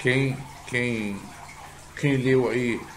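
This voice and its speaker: There is audible room echo and noticeable background noise. A man speaks very slowly at a medium pitch. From Rio de Janeiro, Brazil. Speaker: video blogger. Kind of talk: casual monologue to camera. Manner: halting, many fillers.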